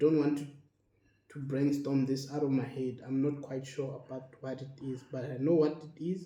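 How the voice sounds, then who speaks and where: A man's fairly high voice with monotone, flat intonation at a moderate pace, with audible room echo. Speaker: health educator and dialysis patient. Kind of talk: casual educational monologue. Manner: halting.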